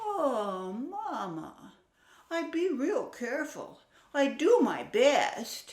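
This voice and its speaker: Very slow, high put-on character voice with very wide pitch swings. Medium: read story. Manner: naive, boastful.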